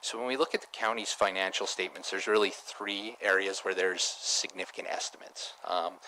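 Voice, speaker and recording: The speech moves at a fairly quick pace with fairly even intonation, over noticeable background noise. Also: man, fairly low pitch for a man. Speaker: auditor. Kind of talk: formal presentation to council. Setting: council chamber meeting. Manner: mumbling. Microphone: too far from the mic at first.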